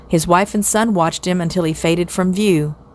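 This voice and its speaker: At a moderate pace, a woman talks in an unremarkable speaking voice of medium pitch with fairly even intonation. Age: 60s. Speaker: storyteller. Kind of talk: children's novel read aloud.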